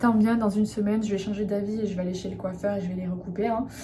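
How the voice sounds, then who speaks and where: A woman speaks in a relaxed tone at a fairly quick pace. Her medium-pitched voice keeps a fairly even intonation. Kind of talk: casual talk to camera, vlog with skincare routine. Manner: relaxed, chatty, soft.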